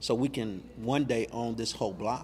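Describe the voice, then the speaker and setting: A man at a medium pitch and moderate pace with an American accent. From US, Louisville Kentucky. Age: 60s. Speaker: museum founder. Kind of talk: interview.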